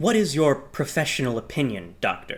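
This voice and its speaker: A man performs a put-on character voice at a fairly high pitch and a moderate pace, in a very clean recording with a silent background. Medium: read story. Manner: formal, courteous.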